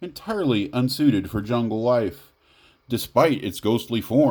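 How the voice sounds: With lively intonation, the voice is a natural reading voice.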